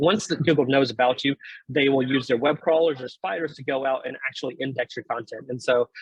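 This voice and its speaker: A man talks at a fairly quick pace with a fairly high pitch and fairly even intonation. The sound is dry and close, with no echo. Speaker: startup founder presenting a webinar. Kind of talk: webinar presentation. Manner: fast.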